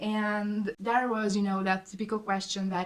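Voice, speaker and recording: In a Hungarian accent, a woman of medium pitch speaks at a fairly slow pace with monotone, flat intonation. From southern Hungary. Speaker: student vlogger. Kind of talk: casual storytelling vlog. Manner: halting.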